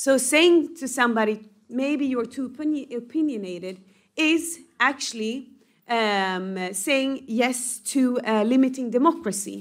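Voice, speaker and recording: A non-native accent at a fairly slow pace, ordinary pitch variation, and a very clean recording with a silent background. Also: woman, high pitch for a woman. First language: not English. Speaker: member of European Parliament. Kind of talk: panel discussion. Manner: halting, many fillers.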